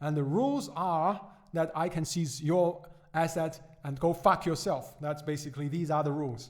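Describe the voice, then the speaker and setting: With a Chinese accent, a man talks at a moderate pace in a fairly high pitch. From China. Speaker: economics podcaster. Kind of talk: podcast commentary. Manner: halting, many fillers and repetitions.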